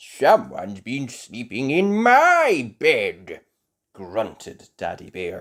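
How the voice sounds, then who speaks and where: In a very clean recording with a silent background, a put-on character voice growls at a very slow pace with a low-to-middle pitch. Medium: read story. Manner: grunting.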